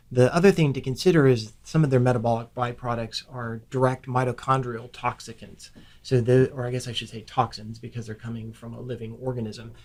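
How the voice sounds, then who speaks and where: A man with an American accent and a plain, everyday voice, medium in pitch, fairly quick and fairly even in intonation, with hardly any pauses and big swings in loudness. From Ohio, US Midwest. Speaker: physician assistant. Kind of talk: interview podcast conversation.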